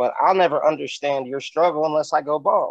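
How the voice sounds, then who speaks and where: A man speaks with an American accent. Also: dry, close sound with no echo. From California (Bakersfield). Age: 30s. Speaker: rapper. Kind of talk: casual interview chat. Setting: remote call.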